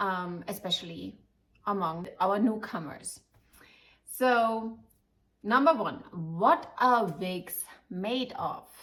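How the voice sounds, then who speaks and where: In a German accent, a woman speaks very slowly at a medium pitch, with lively intonation and long, frequent pauses. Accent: German accent, lasting. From Germany, Munich. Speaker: wig shop owner and advisor. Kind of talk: informative video talk to customers. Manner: halting, many fillers.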